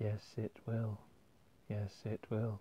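A man puts on a creaky, fairly low-pitched character voice with monotone, flat intonation. Clear background noise runs under a dry, close sound with no echo. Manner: sad, groany.

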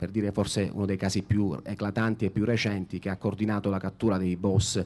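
Here is a man with a plain, everyday voice. He speaks at a moderate pace with a fairly low pitch. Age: 30s. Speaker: journalist moderator. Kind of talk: moderated public interview. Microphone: handheld.

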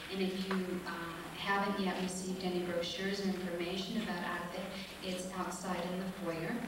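Through strong room echo and noticeable background noise, a woman speaks at a moderate pace. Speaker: event host giving a welcome. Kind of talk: event welcome and announcements. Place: hall. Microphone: podium.

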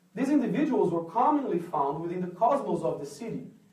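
Here a man talks at a moderate pace with lively intonation. Audible room echo is present. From Brazil. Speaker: artist. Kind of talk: lecture. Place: hall. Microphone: camera far.

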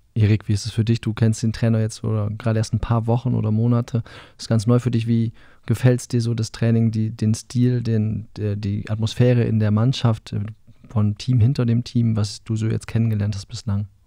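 A man talks at a fairly quick pace in a dark, mellow tone of medium pitch, with monotone, flat intonation and a dry sound with no echo over a quiet background. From northern Germany. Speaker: sports podcast host. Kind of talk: casual chat. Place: studio. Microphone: studio mic.

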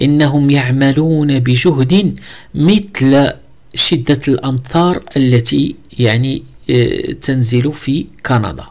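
At a very slow pace, a man with a Moroccan accent speaks at a fairly high pitch, with very even loudness and ordinary pitch variation. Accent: Moroccan Arabic (Darija). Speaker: English teacher. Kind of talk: tutorial. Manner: halting.

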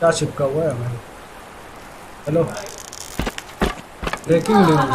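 A man talks at a fairly slow pace. Noticeable background noise can be heard behind him. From India. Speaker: gamer and VO artist. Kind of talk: casual gaming commentary. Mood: joking, mildly tense. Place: home room. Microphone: headset.

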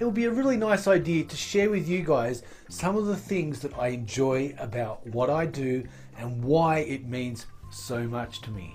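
Faint music plays behind a man who speaks at a moderate pace. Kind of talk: casual vlog chat. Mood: upbeat and grateful.

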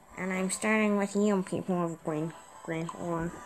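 A woman's put-on character voice at a medium pitch and fairly slow pace, over clear background noise. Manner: menacing, theatrical.

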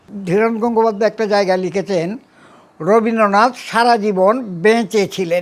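Fairly even in intonation, a man speaks in a high voice. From Bangladesh. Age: 80s+. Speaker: writer and thinker. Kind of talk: interview. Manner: halting.

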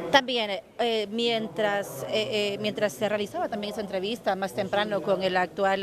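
Words come at a medium speed with ordinary pitch movement while noticeable noise runs beneath them. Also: woman. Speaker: TV reporter. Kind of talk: live report. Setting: on location at an event.

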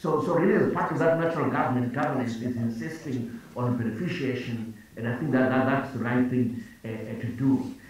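In a room with strong echo, a man talks at a fairly quick pace with ordinary pitch variation. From Zimbabwe. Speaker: finance minister. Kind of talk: panel discussion. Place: office. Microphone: video call.

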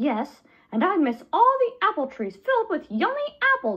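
Someone uses a high, put-on character voice at a moderate pace, with very wide pitch swings. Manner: excited, upbeat.

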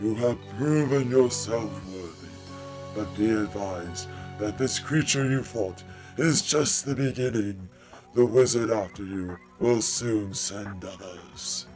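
Clear music plays in the background as a man talks at a fairly slow pace. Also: fairly low pitch for a man. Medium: audio drama. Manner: solemn, kindly.

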